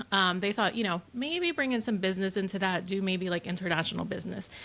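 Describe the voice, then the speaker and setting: A woman speaks very fast in a bright, sharp tone. Her pitch sits at a medium level with ordinary variation. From US, Honduran immigrant family. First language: Spanish. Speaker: wedding photographer, studio owner. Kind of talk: casual interview chat.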